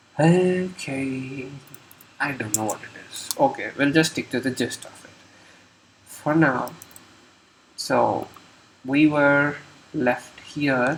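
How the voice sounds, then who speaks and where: With noticeable background noise, a man speaks at a very slow pace with long, frequent pauses, his pitch fairly high and his intonation fairly even. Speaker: programmer live-streamer. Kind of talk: live coding walkthrough. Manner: halting, many fillers.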